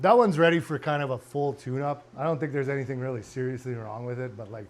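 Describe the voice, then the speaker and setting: A man talking at a very fast pace, with big swings in loudness. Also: medium pitch for a man, ordinary pitch variation. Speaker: car and motorcycle restoration vlogger. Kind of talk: casual chat. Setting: home garage workshop.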